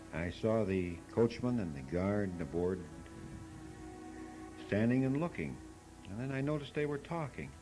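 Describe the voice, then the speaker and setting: Music plays behind a man with a fairly low pitch and very wide pitch swings. He speaks at a moderate pace with long, frequent pauses. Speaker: father telling a bedtime story. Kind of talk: homemade storytelling recording.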